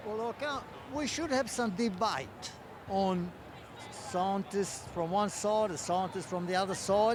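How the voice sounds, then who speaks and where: Pitched high, a man speaks at a fairly slow pace. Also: ordinary pitch variation. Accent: Australian. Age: 80s+. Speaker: rally attendee. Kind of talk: street interview.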